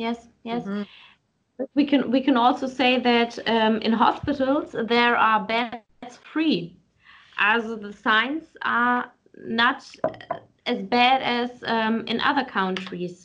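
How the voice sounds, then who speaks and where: In a German accent, a woman speaks at a very slow pace with a fairly high pitch and ordinary pitch variation. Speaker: podcast host. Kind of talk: interview. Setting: video call.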